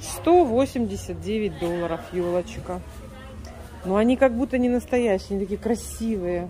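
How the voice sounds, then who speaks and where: There is crowd noise in the background. A woman is speaking. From Siberia, Russia. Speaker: vlogger, home cook, Russian immigrant in US. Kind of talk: casual vlog, cooking and shopping. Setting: kitchen and store, recorded on the go. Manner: animated, chatty. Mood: delighted, admiring. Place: shop. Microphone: phone near.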